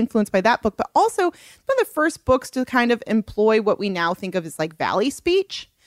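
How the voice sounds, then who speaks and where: This woman has an American accent and a fairly quick pace. Her pitch swings very widely. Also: dry, close sound with no echo. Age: 30s. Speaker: novelist. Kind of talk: interview.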